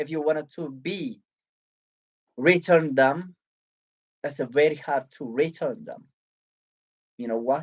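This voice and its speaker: Fairly slow delivery in an Ethiopian accent, broken by long, frequent pauses. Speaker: book reviewer. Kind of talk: live stream presentation. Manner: halting.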